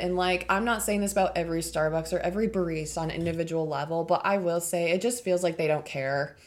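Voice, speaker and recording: Speaking at a very fast pace, a woman with a fairly low voice leaves hardly any pauses. Her pitch varies in an ordinary way. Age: 20s. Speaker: plant shop owner. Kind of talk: casual chat.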